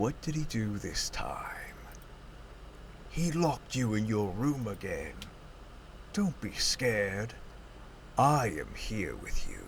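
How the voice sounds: Using a put-on character voice with a soothing, menacing tone, a man speaks at a fairly slow pace with long, frequent pauses over noticeable background noise.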